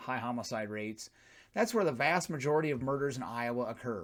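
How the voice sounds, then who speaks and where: A man's very fast speech with ordinary pitch variation, on a very clean recording with a silent background. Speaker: political commentary youtuber. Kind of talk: political rant monologue. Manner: combative, mocking.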